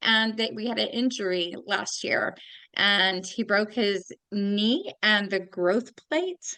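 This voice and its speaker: In an American accent, a woman with a bright, sharp tone speaks at a very slow pace. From New Jersey. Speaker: podcast host. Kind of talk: casual interview chat. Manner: animated.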